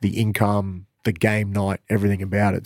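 A dark, mellow tone with an Australian accent, in a very clean recording with a silent background. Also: man. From Queensland, Australia. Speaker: basketball coach. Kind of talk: casual interview.

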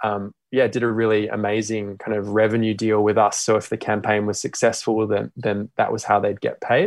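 A man's fairly low, flat monotone in an Australian accent, against a quiet background. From Australia (Perth). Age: 30s. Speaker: social entrepreneur, company CEO. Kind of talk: interview. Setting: remote call.

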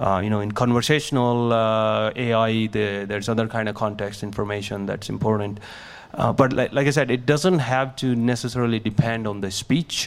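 With music playing in the background, a man speaks at a medium pitch. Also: moderate pace. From India, small village. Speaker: tech startup founder and speech scientist. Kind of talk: live talk with Q&A. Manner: halting, many fillers.

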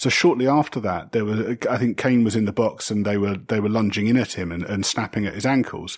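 The recording is very clean, with a silent background. A man with a fairly low pitch and an English accent talks at a fairly quick pace. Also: ordinary pitch variation, hardly any pauses. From England. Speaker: football podcast panelist. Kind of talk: casual chat.

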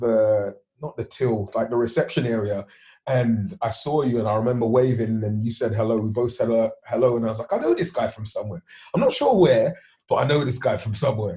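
At a fairly quick clip, a man uses an ordinary speaking voice, and his pitch varies in an ordinary way. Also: medium pitch for a man. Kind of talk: casual interview chat. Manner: friendly, informal, upbeat.

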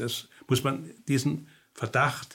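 A man with an East German accent, somewhat breathy, with fairly even intonation. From East Germany. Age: 70s. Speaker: psychotherapist and author. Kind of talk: interview. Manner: hesitant, many filler sounds.

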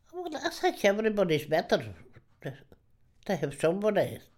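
Her pitch swings very widely around a medium level. The woman talks at a fairly quick pace. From Ireland, rural Donegal. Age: 80s+. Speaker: retired countrywoman, interviewee. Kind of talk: reminiscing interview. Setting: her home.

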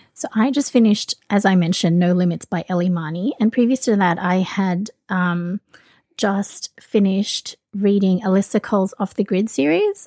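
With an Australian accent, a woman speaks at a moderate pace in a dark, mellow tone of medium pitch with ordinary pitch variation, on a very clean, dry, close recording with a silent background and no echo. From Australia (from early teens), born in the Philippines. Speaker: romance book blogger and podcaster. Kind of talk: casual chat.

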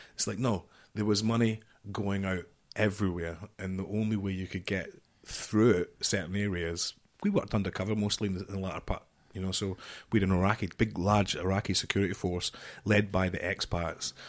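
A man with a Glaswegian accent, fairly low-pitched, at a fairly quick pace, on a very clean recording with a silent background. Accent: Glaswegian Scottish. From Scotland, near Glasgow. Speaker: former marine commando and security chief. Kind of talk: interview storytelling. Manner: animated.

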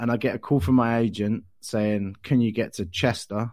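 In an English accent, the speaker keeps a fairly even intonation on a very clean recording with a silent background. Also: man. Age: 40s. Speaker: comedian. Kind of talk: casual chat.

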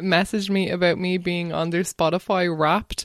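A woman with an Irish accent is heard in a dry, close sound with no echo. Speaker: podcast host. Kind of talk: casual interview chat.

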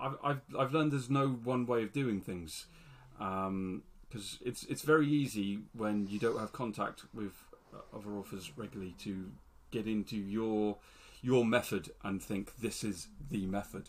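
The speaker has a British accent and ordinary pitch variation. The pace is moderate. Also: man, fairly low pitch for a man. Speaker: podcast co-host, fantasy author. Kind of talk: casual chat.

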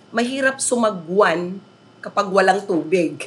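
With very wide pitch swings, a woman talks at a fairly slow pace. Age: 50s. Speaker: teacher. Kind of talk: interview.

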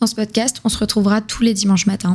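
At a fairly quick pace, a woman with a fairly high pitch speaks in a monotone, flat intonation, her voice somewhat breathy. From southern France. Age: 20s. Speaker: podcast host. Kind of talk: solo podcast introduction. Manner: casual, conversational.

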